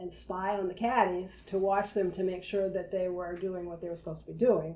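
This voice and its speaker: The voice has a dark, mellow tone, and the room echo is audible. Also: woman. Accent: New England. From New Hampshire, US. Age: 70s. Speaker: oral history interviewee. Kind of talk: oral history interview. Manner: casual, conversational with hesitations.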